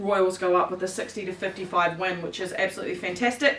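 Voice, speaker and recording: A woman with a New Zealand accent at a fairly quick pace, with noticeable background noise. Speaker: basketball show co-host. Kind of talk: sports results roundup. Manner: loud.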